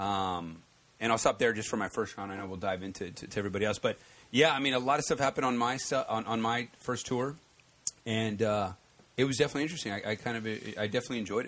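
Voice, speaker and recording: A man speaks very fast at medium pitch, with ordinary pitch variation. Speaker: podcast co-host. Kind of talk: casual chat.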